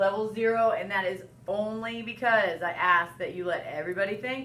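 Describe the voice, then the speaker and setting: A woman speaks loudly with ordinary pitch variation, and room echo is audible. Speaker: elementary school teacher. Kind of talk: recorded classroom lesson.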